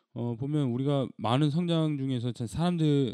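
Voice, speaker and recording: A man speaks at a fairly slow pace with a dark, mellow tone. The background is quiet, and the sound is dry and close with no echo. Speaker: podcast host. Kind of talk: casual chat. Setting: studio.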